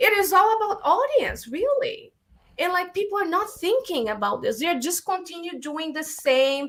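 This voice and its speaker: This woman speaks at a moderate pace with a Brazilian accent, her extremely high voice swinging very widely in pitch. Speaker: filmmaker and actress. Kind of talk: podcast interview. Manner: animated.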